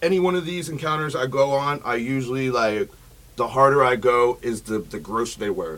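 Here is a man with a plain, everyday voice at medium pitch. He talks at a fairly quick pace with lively intonation. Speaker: online predator-catcher vlogger. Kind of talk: casual chat. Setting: studio.

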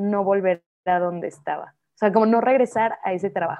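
Speaking in a plain, everyday voice, a woman keeps a medium pitch, fairly even intonation and a moderate pace. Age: 30s. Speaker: painter. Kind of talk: casual interview chat.

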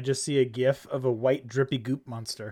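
On a very clean recording with a silent background, a man with a fairly high pitch speaks very fast with fairly even intonation. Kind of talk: casual chat.

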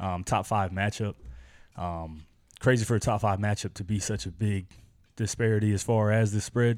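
The speaker has an unremarkable speaking voice and fairly even intonation. The pace is moderate. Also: man, fairly low pitch for a man, very clean recording, silent background. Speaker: podcast co-host. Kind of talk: casual banter about sports.

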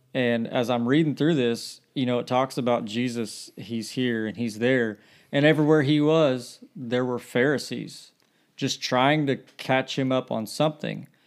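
On a very clean recording with a silent background, a man with an unremarkable speaking voice talks at a medium pitch and fairly slow pace, his intonation fairly even. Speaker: guest speaker. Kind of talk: casual Bible study chat.

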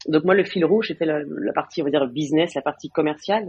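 Her speech moves fairly quickly. The pitch of this woman's voice rises and falls in an ordinary way. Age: 40s. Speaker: tech business executive. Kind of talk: interview. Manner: halting, many fillers and repetitions.

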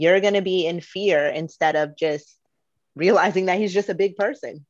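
A woman's plain, everyday voice at a moderate pace, with ordinary pitch variation and a quiet background. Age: 30s. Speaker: podcast co-host. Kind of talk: casual chat.

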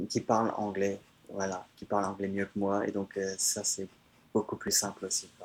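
A man's fairly low voice in a monotone, flat intonation at a moderate pace. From France, countryside. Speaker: traveler. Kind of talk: interview. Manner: halting.

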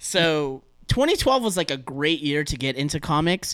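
With an American accent, a man with a fairly high pitch speaks on a very clean recording with a silent background, dry and close with no echo. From Southern California. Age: 30s. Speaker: podcaster guest. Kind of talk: casual chat. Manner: animated.

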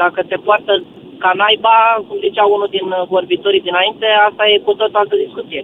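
Against noticeable background noise, a high-pitched man speaks at a fairly quick pace with ordinary pitch variation. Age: 70s. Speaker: radio caller. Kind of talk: phone-in call.

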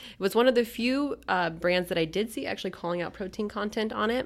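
A woman speaks in a plain, everyday voice. The recording is very clean, with a silent background. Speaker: magazine editor. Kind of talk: casual chat.

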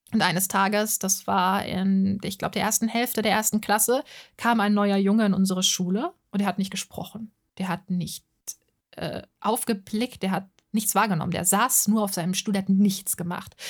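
On a very clean recording with a silent background, a woman speaks at a moderate pace in a somewhat breathy, medium-pitched voice with monotone, flat intonation. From Hesse, Germany (Offenbach am Main). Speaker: podcaster and art channel creator. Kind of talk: monologue podcast.

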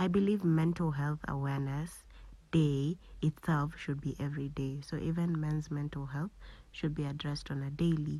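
Very deep and low, a woman's somewhat breathy voice carries a dark, mellow tone, flat and monotone at a moderate pace on a very clean recording with a silent background. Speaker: podcast host. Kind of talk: casual monologue.

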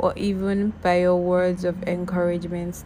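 A woman's warm tone at a fairly slow pace, over noticeable background noise. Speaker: podcast host. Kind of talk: spoken-word love letter, read aloud. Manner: tender, warm, intimate, dreamy, slow and sincere, repeating 'I love you because'; affectionate, gushing and sweet.

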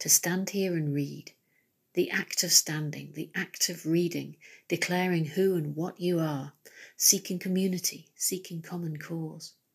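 A woman's somewhat breathy, fairly low-pitched voice, monotone and flat at a fairly slow pace, on a very clean recording with a silent background. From Nottingham, England. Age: 50s. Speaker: poet. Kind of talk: poetry reading.

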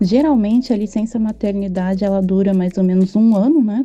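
Her tone is dark and mellow, her pitch medium. The woman speaks at a moderate pace with ordinary pitch variation. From Brazil. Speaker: guest, mother on maternity leave. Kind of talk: interview testimony.

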